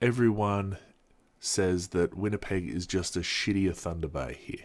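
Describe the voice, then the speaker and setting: A man with an Australian accent speaks at a fairly slow pace in a fairly low voice, on a very clean recording with a silent background. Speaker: vlogger. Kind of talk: casual vlog monologue. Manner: halting, many fillers.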